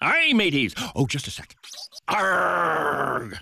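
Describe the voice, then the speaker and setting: The speaker uses a put-on character voice and talks very slowly. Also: man, high pitch for a man. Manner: gruff, playful.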